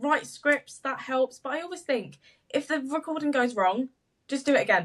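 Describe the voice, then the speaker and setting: A woman's high voice at a moderate pace, with ordinary pitch variation. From English Midlands. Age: 20s. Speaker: social media business owner. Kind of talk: podcast interview. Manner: stumbles on words.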